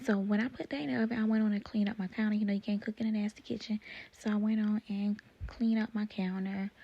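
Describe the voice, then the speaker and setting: The speaker whispers softly. The delivery is very fast. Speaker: cooking vlogger. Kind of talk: voice-over cooking tutorial. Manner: soft, near whispering; casual, chatty.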